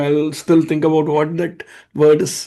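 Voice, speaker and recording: A man with a high-pitched voice speaks with an Indian accent. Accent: Indian English, unchanged. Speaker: live stream host. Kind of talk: live stream panel discussion. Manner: fast.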